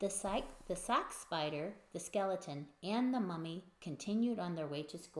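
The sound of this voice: This is an unforced reading voice. The words are read out.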